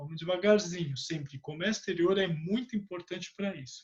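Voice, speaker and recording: This man's voice sits high in pitch with ordinary pitch variation. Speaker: podcast host interviewing import specialist. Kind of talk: casual interview chat.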